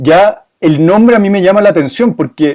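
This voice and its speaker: A man's dark, mellow voice at a moderate pace. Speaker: moderator. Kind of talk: interview.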